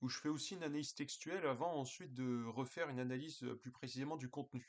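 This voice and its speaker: This man talks at a very fast pace in a fairly high pitch, his intonation fairly even. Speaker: political commentator. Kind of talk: casual video monologue. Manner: hesitant, many fillers.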